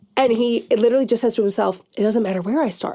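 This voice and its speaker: Loud and very fast, a woman speaks with a fairly high pitch, a dark, mellow tone and ordinary pitch variation. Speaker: podcast host. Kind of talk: casual chat. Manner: high-pitched.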